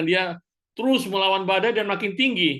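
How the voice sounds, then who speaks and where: Against a quiet background, a man speaks at a moderate pace. His tone is bright and sharp, and his intonation is lively. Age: 60s. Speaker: cell group member. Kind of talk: group discussion.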